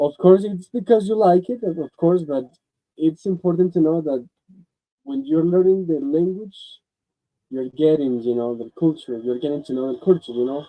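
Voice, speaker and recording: With a Spanish accent, a man talks at a moderate pace in a fairly high pitch, his intonation lively. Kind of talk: radio interview. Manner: halting.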